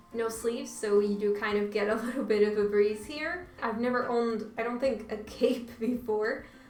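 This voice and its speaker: A woman with a Portuguese accent and fairly high pitch, moderate pace with hardly any pauses, fairly even intonation, audible room echo and noticeable background noise. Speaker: YouTuber. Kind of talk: casual try-on haul vlog. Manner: casual, filler-heavy.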